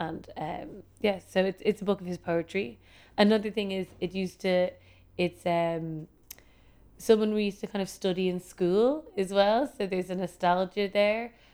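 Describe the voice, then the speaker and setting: With a Dublin accent, a woman talks at a moderate pace in a medium pitch. Her tone is dark and mellow, and her pitch varies in an ordinary way. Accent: Dublin Irish. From Ireland, Dublin. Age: 30s. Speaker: fashion designer. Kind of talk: casual interview chat. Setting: her studio.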